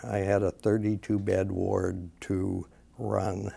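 A man's dark, mellow tone at a fairly low pitch. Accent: American. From US Midwest, Wisconsin. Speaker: gastroenterologist; interviewee. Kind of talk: interview. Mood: calm, reflective storytelling. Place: studio. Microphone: lapel.

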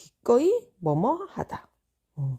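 Against a quiet background, a woman with a fairly high pitch speaks in a dark, mellow tone. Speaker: English learning YouTuber. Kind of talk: tutorial. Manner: casual.

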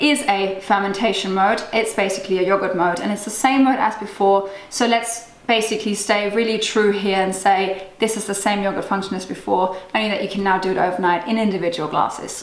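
At a fairly quick pace with hardly any pauses and fairly even intonation, the voice carries audible room echo. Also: woman. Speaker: cooking blogger. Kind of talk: product review. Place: kitchen.

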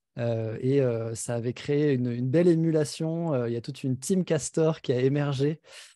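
A man speaks at a fairly slow pace in a dark, mellow tone, with ordinary pitch variation. The background is quiet and the sound is dry, with no echo. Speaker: festival host. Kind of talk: event introduction. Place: home room. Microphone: studio mic.

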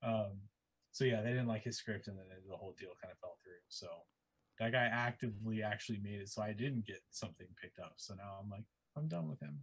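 Against a quiet background, a man talks at a fairly quick pace in a somewhat breathy voice, with ordinary pitch variation and big swings in loudness. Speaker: comic artist. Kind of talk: casual chat. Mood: relaxed, friendly. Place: home room. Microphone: video call.

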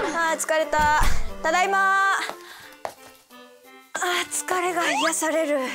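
At a fairly slow pace with long, frequent pauses, a raised, projected voice shows ordinary pitch variation over clear background music. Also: woman, extremely high pitch for a woman. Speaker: voice actress. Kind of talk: casual web show banter. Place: studio. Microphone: lapel.

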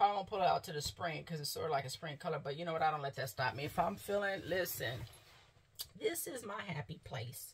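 Somewhat breathy, a woman speaks at a very fast pace with lively intonation. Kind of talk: casual vlog chat. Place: home room. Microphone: phone near.

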